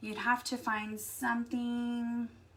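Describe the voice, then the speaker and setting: Over noticeable background noise, a woman with an American accent speaks at a high pitch. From Texas. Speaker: craft YouTuber. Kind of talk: live stream craft tutorial. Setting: live stream. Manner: casual, chatty.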